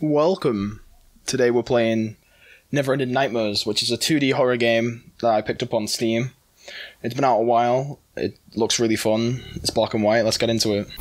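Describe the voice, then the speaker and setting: Over a quiet background, a man talks at a moderate pace with fairly even intonation. His loudness stays very even. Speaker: gaming video creator. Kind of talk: casual gaming intro. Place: home room. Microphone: studio mic.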